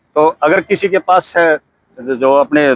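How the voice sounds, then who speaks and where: Recorded dry and close without any echo, a man is speaking. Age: 60s. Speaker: army veteran. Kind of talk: interview.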